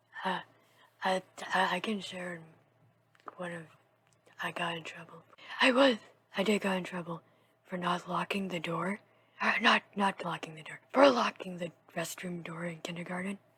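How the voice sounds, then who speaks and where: Speaking at a moderate pace with long, frequent pauses, the voice comes through noticeable background noise. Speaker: podcast co-host. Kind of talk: casual chat.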